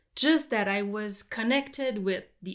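A woman speaks at a fairly high pitch with a French accent, at a fairly slow pace. The recording is very clean, with a silent background. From Quebec. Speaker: farmer and winemaker. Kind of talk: casual interview chat.

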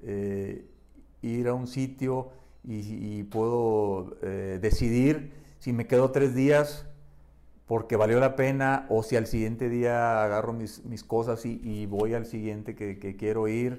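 The voice has a dark, mellow tone and fairly even intonation. The pace is very slow. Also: man, medium pitch for a man. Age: 60s. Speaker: adventurer and photographer. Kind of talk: casual chat. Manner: halting.

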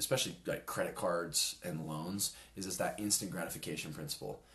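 A very deep, low male voice with an American accent. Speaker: podcast co-host, college student. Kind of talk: casual chat.

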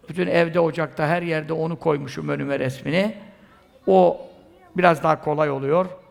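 A man's fairly high voice at a moderate pace, with ordinary pitch variation amid noticeable background noise. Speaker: Sufi preacher. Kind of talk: sermon.

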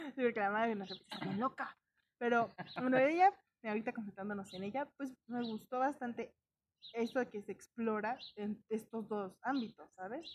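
A woman with a Mexican accent, fairly high in pitch, with ordinary pitch variation at a moderate pace. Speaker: podcast co-host. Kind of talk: casual chat.

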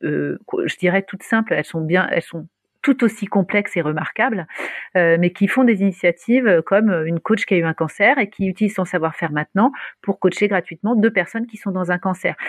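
The sound is dry and close with no echo. A woman speaks at a fairly quick pace and medium pitch with ordinary pitch variation. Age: 40s. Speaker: startup founder. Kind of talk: interview. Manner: animated.

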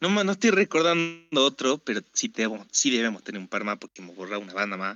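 Speaking at a fairly quick pace in a Rioplatense accent, a man with a medium-pitched voice makes very wide pitch swings. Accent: Argentine Rioplatense Spanish. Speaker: podcast co-host. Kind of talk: casual chat.

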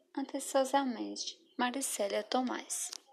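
A woman is speaking. Her pace is very slow. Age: 20s. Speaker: schoolteacher. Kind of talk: scripted narration.

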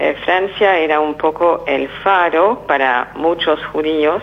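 A woman with a very deep, low pitch and ordinary pitch variation talks through noticeable background noise. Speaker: Holocaust survivor and author. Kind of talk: testimony. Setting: phone call. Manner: halting.

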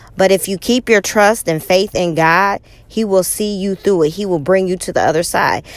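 At a moderate pace, a woman speaks at medium pitch with ordinary pitch variation. Hers is a normal speaking voice. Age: 40s. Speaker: podcast host and motivational speaker. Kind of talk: personal monologue.

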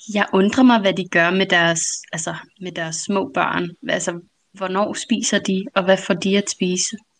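A woman with a normal speaking voice talks at a fairly slow pace, her medium pitch carried by fairly even intonation. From Denmark. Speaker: guest. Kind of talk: casual chat.

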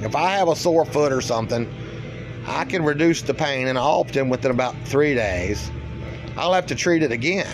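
Over music in the background, a man with an American accent talks at a fairly quick pace, his fairly high voice carrying lively intonation. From eastern US. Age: 50s. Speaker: spiritual podcaster. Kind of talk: solo spiritual monologue.

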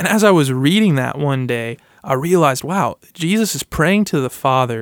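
A man with a fairly high pitch uses a plain, everyday voice at a moderate pace with lively intonation, in a very clean recording with a silent background and a dry, close sound with no echo. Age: 20s. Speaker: campus minister. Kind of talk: casual chat.

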